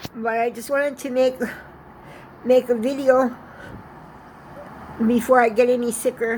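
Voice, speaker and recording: Over noticeable background noise, a woman speaks in a high, shaky voice. Her intonation is monotone and flat, with long, frequent pauses. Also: moderate pace. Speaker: vlogger sharing personal message. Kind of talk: personal video message. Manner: halting.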